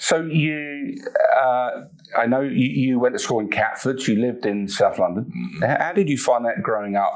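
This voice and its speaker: Lively intonation marks this man's medium-pitched voice. He talks at a moderate pace over noticeable background noise. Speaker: podcast host and magician. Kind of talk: podcast interview questions.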